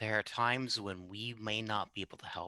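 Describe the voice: Fairly even intonation in plain reading aloud.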